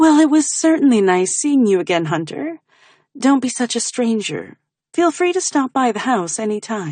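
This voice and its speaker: Putting on a character voice, a woman speaks at a moderate pace, breathy and high-pitched, with very wide pitch swings. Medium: read story. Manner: gushing, breathy.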